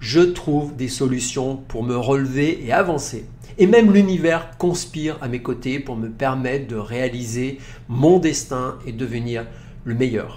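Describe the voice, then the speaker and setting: With a medium pitch and lively intonation, a man talks at a fairly slow pace, his loudness swinging widely, in audible room echo. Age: 50s. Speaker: naturopath and podcast host. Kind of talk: advice monologue.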